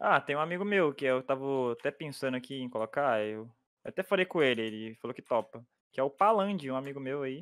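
With an ordinary speaking voice, a man talks at a fairly quick pace, fairly high in pitch, with lively intonation. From Minas Gerais, Brazil. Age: 20s. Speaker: YouTuber. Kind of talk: casual chat while gaming.

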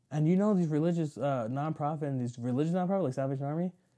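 On a very clean recording with a silent background, a man talks very fast at a fairly high pitch, his dark, mellow tone carrying ordinary pitch variation. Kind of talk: casual chat. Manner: fast talker.

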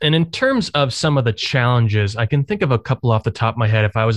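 Very fast, somewhat breathy speech with a dry, close sound, no echo and a quiet background. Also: man. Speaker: podcast host. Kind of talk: casual interview.

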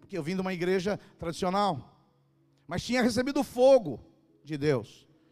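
Music plays in the background as a man speaks at a high pitch. His pitch swings very widely, with long, frequent pauses. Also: moderate pace. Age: 60s. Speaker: pastor. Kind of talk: sermon. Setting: church stage with audience. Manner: animated.

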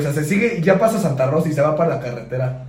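With audible room echo around him, a man talks with lively intonation at a fairly high pitch. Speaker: podcast co-host. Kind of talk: casual chat.

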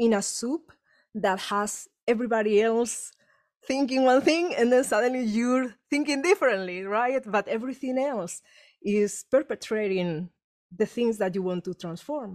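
A woman with a Spanish accent speaks at a moderate pace with a fairly high pitch and lively intonation. The sound is dry and close, with no echo. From Spain. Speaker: energy healer and author. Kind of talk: casual chat. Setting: video call. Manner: animated.

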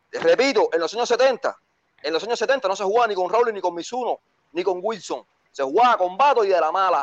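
At a fairly quick pace, a man speaks in a high pitch with lively intonation. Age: 40s. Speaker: caller. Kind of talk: heated debate.

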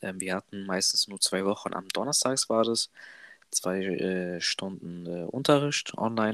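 An unremarkable speaking voice from a man, fairly low in pitch, with ordinary pitch variation, a fairly slow pace and a dry, close sound with no echo. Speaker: trainee apprentice, podcast co-host. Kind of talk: casual chat.

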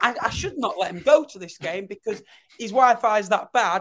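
The speaker talks at a moderate pace in a northern English accent. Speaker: football podcast host. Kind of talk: casual chat.

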